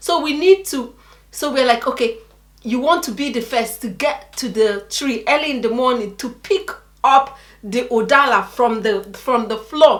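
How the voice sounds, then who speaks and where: Animated in tone, a woman with a high pitch speaks at a moderate pace with lively intonation. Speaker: vlogger. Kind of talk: casual storytelling chat.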